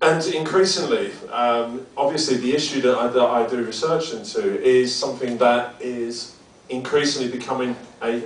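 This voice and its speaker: Here a man with a strong British accent speaks at a medium pitch with fairly even intonation. The room echo is audible, and there is noticeable background noise. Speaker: academic researcher. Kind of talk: lecture. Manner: halting, many fillers and repetitions.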